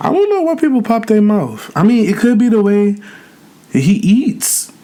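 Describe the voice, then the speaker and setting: At a moderate pace, a man speaks in a high pitch with lively intonation and very even loudness. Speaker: YouTuber, mukbang creator. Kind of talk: casual chat while eating, Q&A.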